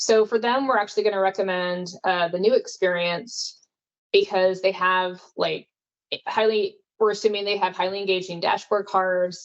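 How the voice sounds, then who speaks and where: A woman's medium-pitched voice with fairly even intonation. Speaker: product specialist presenter. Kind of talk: webinar presentation. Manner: fast.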